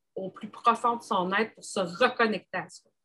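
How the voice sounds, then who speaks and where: A woman with a Quebec accent speaks at a very slow pace, her fairly high voice bright and sharp in tone. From Quebec, Gaspésie. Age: 40s. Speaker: engineer and entrepreneur. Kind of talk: casual interview chat.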